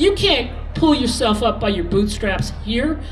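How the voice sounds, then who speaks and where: Music plays in the background as a woman speaks at a fairly slow pace. Her intonation is lively, and the room echo is audible. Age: 60s. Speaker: former cafe owner, rally speaker. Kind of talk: protest rally speech. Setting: outdoor rally stage with crowd. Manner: animated.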